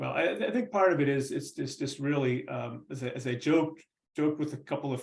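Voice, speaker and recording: A man's somewhat breathy, fairly high voice at a fairly quick pace, with fairly even intonation. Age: 60s. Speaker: retired baseball player and writer. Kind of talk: casual interview.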